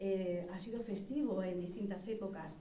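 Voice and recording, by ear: With audible room echo, a woman talks at a moderate pace and medium pitch, with ordinary pitch variation and a dark, mellow tone.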